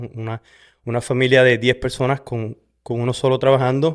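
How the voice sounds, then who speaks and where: With a Puerto Rican accent, the speaker talks at a moderate pace on a very clean recording with a silent background. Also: man. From Puerto Rico, west (Sabana Grande). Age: 40s. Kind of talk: testimony. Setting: in front of a camera. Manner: halting, many fillers.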